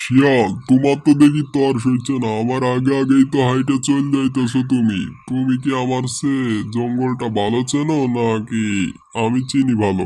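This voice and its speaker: A cartoonish character voice delivered at a moderate pace. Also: man, medium pitch for a man. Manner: blunt, rustic, bossy.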